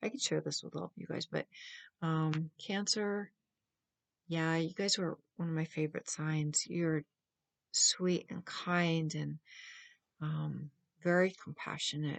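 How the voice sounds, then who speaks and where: A soft-spoken woman talks at a fairly slow pace in a fairly low pitch with fairly even intonation. She leaves long, frequent pauses, and the background is quiet. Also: dry, close sound with no echo. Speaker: tarot reader. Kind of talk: tarot reading.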